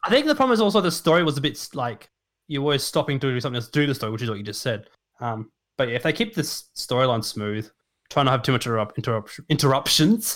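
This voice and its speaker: A man of medium pitch with an Australian accent, lively intonation and a very fast pace, on a very clean recording with a silent background. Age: 20s. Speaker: streamer and shiny hunter. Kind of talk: casual chat.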